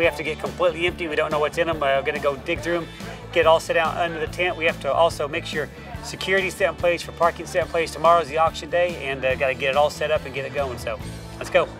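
A man's very fast speech at a fairly high pitch, with fairly even intonation, dry sound with no echo, and clear music in the background. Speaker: auctioneer. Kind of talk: casual talk to camera, giving instructions to crew. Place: garden.

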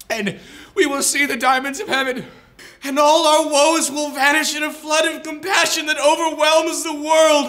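A man's raised, projected voice sits at an extremely high pitch with fairly even intonation. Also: moderate pace, quiet background. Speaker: student actor. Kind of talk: dramatic monologue from a Chekhov play, performed as a comedic promo. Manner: earnest, pleading and consoling, building to fervent exclamations; tender, tearful-sounding reassurance with halting repetitions. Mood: earnest, mock-tearful. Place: studio.

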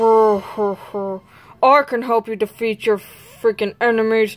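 A put-on character voice, female-sounding, fairly high-pitched, flat and monotone, at a fairly slow pace. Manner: menacing.

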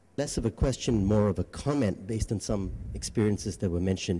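A man's fairly low voice, dark and mellow in tone with a slightly husky edge, ordinary pitch variation and a moderate pace

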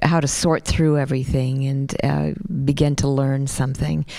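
With fairly even intonation, a woman speaks in a very deep, low pitch and a dark, mellow tone. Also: quiet background. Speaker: radio show host. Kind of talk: radio interview. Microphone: handheld.

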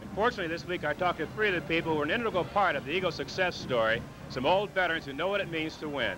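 A man talks at a very fast pace with a high pitch. His pitch varies in an ordinary way over noticeable background noise. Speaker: football analyst. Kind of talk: broadcast analysis. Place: stadium. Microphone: handheld.

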